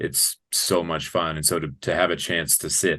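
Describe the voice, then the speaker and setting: A man talks with vocal fry. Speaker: new arena public address announcer for a hockey team. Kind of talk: interview answer. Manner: enthusiastic, energetic.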